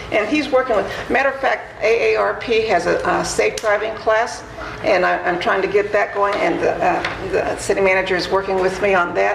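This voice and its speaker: A woman at a moderate pace, very even in loudness, with audible room echo and noticeable background noise. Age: 70s. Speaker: city council member. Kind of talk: council meeting remarks. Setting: city council chamber. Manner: halting.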